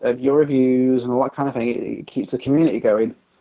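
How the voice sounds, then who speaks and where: Talking at a fairly quick pace, a man with an English accent holds a medium pitch. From Britain. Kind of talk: interview conversation.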